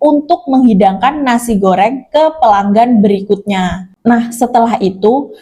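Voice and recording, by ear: Someone reads aloud here in a natural voice.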